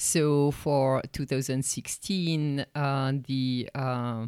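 A woman's very deep, low, dark and mellow voice with a French accent, at a very slow pace with fairly even intonation, dry and close with no echo in a very clean recording over a silent background. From France. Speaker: art history professor and research center director. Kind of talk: interview.

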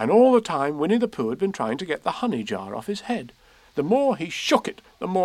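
What you hear is a natural reading voice.

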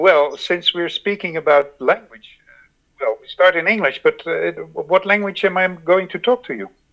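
In a Dutch accent, a man speaks at a high pitch and moderate pace with ordinary pitch variation, recorded dry and close with no echo. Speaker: podcast host. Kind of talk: interview; scripted introduction. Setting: home recording, attic or cellar. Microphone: poor sound quality.

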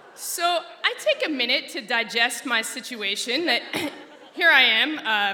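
A woman with an American accent speaks with lively intonation. Noticeable background noise can be heard. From Alaska. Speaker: storyteller. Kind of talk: personal storytelling talk. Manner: animated.

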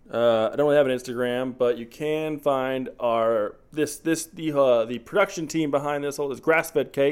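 A man with an ordinary speaking voice, fairly high pitch, fairly even intonation, and a moderate pace with hardly any pauses. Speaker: movie podcast host. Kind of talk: casual chat, movie review. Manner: joking, casual.

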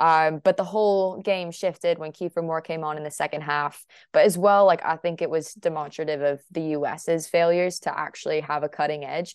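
An unremarkable speaking voice with an American accent at a fairly quick pace. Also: woman, fairly low pitch for a woman, fairly even intonation, quiet background. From United States. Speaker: football journalist. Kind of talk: interview answers.

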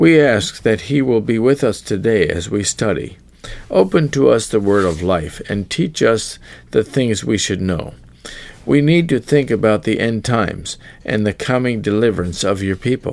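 A man's ordinary speaking voice with lively intonation at a moderate pace. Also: fairly low pitch for a man. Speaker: pastor. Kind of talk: sermon. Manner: formal.

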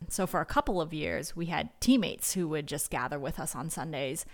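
A woman speaks at a fairly low pitch with vocal fry and lively intonation in a very clean recording with a silent background. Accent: Californian. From Northern California. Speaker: missionary. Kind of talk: interview testimony.

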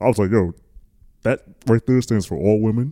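With an American accent, a man speaks at a moderate pace in a fairly low voice with a dark, mellow tone and ordinary pitch variation. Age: 20s. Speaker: podcast co-host. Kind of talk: casual chat.

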